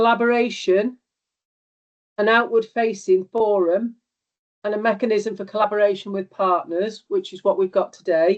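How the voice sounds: A woman speaks at a medium pitch. Her intonation stays fairly even. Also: moderate pace.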